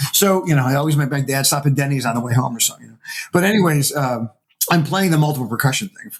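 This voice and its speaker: A man talks at a very fast pace with ordinary pitch variation and big swings in loudness. His voice is somewhat breathy. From upstate New York (Syracuse). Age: 60s. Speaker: percussionist and music professor. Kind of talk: casual interview conversation. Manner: animated storytelling with hesitations.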